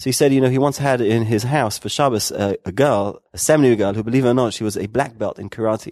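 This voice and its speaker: A man with a London accent against a quiet background. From London, England. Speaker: rabbi and founder of educational media organization. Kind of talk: interview conversation.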